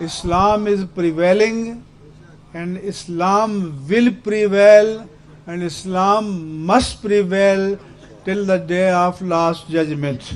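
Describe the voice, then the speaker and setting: This is a man with a high pitch. His intonation stays fairly even. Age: 70s. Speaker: religious scholar. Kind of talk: speech to a protest sit-in. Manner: formal.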